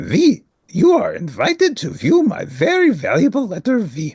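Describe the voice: The speaker puts on a character voice with very wide pitch swings and a husky, rough edge over a slightly mellow tone. The pace is fairly slow, and the sound is dry and close with no echo. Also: man, high pitch for a man.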